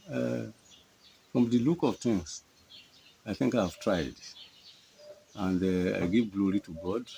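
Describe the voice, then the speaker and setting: With long, frequent pauses, a man talks at a fairly slow pace in a fairly low pitch. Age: 80s+. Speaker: retired civil servant. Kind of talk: interview answer. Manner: hesitant.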